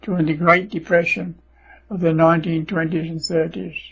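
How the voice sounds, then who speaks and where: This man, with an English accent, speaks at a moderate pace in a high pitch with monotone, flat intonation. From England. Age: 80s+. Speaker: World War Two veteran. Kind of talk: personal life story narration.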